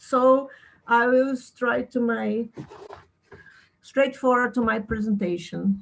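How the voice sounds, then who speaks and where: A somewhat breathy woman's voice with a non-native accent. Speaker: philosophy researcher. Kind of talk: lecture. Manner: slow; halting.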